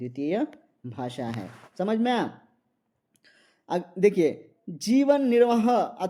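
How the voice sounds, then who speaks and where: A man speaks in a dark, mellow tone with a Marathi accent. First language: Marathi (speaking Hindi). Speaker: Hindi exam-prep teacher. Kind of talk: lecture. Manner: repetitive, with many fillers.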